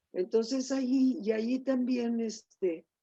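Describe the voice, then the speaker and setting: The woman's tone is dark and mellow, and her pace is very slow. The sound is dry and close, with no echo. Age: 80s+. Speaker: feminist academic. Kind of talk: interview conversation.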